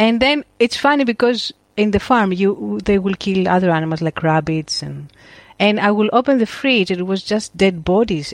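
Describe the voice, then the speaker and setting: A woman with a Greek accent speaks at a medium pitch and a moderate pace. Her intonation is lively, and the background is quiet. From Crete, Greece. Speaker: photographer and educator. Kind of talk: casual interview chat.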